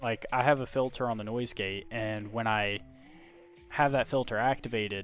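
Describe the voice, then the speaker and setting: A man with an American accent speaks at medium pitch. Music plays in the background. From Virginia. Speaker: gaming streamer. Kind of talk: casual live-stream commentary. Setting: home live stream, quiet so family sleeps. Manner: soft-spoken. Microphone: noise gate filter cutting out soft speech.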